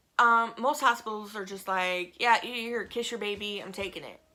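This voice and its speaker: Speaking at a fairly quick pace, a woman uses a bright, sharp tone at medium pitch with ordinary pitch variation. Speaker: vlogger, stay-at-home mom. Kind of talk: casual vlog update. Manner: fast; hesitant, many fillers.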